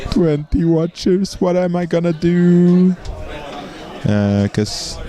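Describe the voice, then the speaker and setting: A man with a Swedish accent, high pitch and lively intonation at a very slow pace, amid noticeable background noise. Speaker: game commentator. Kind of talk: live commentary; casual chat.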